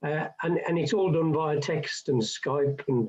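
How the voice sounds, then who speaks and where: A man speaks fairly slowly, somewhat breathy, with a dark, mellow tone. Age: 70s. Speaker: retiring councillor. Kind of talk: radio interview.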